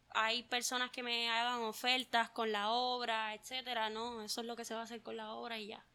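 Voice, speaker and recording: Over a silent background on a very clean recording, a woman speaks at a high pitch with a Puerto Rican accent. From Puerto Rico, Juncos. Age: 20s. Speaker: visual artist. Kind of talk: interview.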